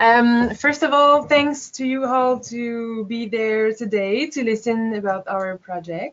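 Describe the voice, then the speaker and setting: Speaking at a very slow pace, a woman has a fairly high pitch and ordinary pitch variation. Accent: French-Canadian. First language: French. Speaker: biologist and project manager. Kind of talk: presentation. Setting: webinar. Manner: hesitant.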